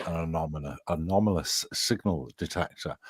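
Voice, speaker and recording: A man's very deep, low voice comes through dry and close with no echo, on a very clean recording with a silent background. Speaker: AI and paranormal tech hobbyist. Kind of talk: casual group chat.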